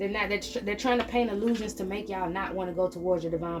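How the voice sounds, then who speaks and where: Against noticeable background noise, a woman talks at medium pitch with ordinary pitch variation. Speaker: tarot reader. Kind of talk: spiritual reading monologue. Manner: fast; animated.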